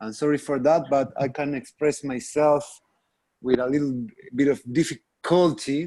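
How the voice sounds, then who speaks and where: In a Spanish accent, this voice has a dark, mellow tone and ordinary pitch variation. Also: man. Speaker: workshop facilitator. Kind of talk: video call team meeting. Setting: video call. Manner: halting.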